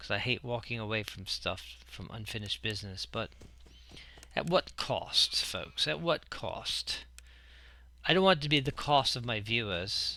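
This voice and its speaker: A man's medium-pitched voice with a bright, sharp tone and very wide pitch swings, at a moderate pace, in a very clean recording with a silent background. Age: middle-aged. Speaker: gaming YouTuber. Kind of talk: let's play commentary.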